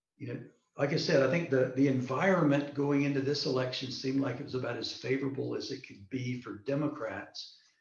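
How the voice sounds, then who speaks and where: A man talks at a fairly quick pace with a fairly high pitch and fairly even intonation. Audible room echo follows his voice. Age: 60s. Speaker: political candidate and retired military officer. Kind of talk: online interview. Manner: hesitant, many fillers and repetitions.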